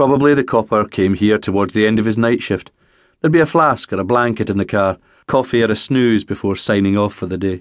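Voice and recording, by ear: The pitch varies an ordinary amount as the text is read aloud in a natural voice.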